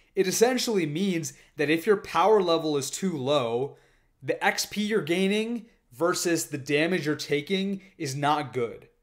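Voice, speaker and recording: A man's high-pitched, animated voice with lively intonation, at a fairly slow pace against a quiet background. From Indian heritage. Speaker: fitness youtuber. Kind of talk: casual monologue. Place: home room. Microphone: studio mic.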